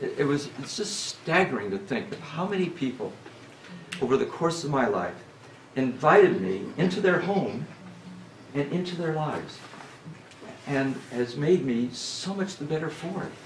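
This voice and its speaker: The speaker talks at a moderate pace with long, frequent pauses, against noticeable background noise and audible room echo. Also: man, fairly high pitch for a man, lively intonation. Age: 70s. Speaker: retreat speaker. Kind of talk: talk at a church retreat. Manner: halting, many fillers.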